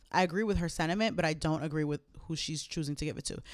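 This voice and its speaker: Her voice is very deep and low, a woman with an American accent. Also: very clean recording, silent background. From Jamaica, Queens, New York. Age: 20s. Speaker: podcast co-host. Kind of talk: casual chat. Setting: home recording.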